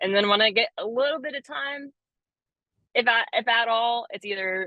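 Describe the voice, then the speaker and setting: A woman with an American accent and a fairly high pitch speaks at a moderate pace with lively intonation. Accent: Southern US, remarked on by host. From Florida (hometown in Florida, family from North Florida). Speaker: arborist. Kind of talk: casual interview chat.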